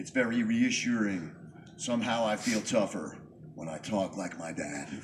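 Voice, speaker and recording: The speaker has an American accent, lively intonation and big swings in loudness at a moderate pace. Background noise is noticeable. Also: man, fairly low pitch for a man. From New York. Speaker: poet. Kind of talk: spoken word performance.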